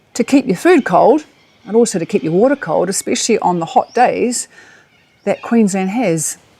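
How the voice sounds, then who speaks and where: A woman with a New Zealand accent, a dark, mellow tone, a fairly high pitch with very wide swings, and a moderate pace. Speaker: travel vlogger. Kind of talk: casual monologue to camera.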